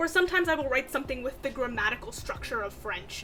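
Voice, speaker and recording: A woman's raised, projected voice with very wide pitch swings, music playing in the background. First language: Bengali. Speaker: writing vlogger. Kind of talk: casual vlog chat. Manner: chatty, conversational.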